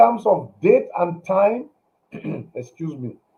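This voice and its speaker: The voice has a dark, mellow tone and lively intonation. It moves at a very slow pace. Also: man. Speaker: motivational speaker. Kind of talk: motivational talk. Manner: halting.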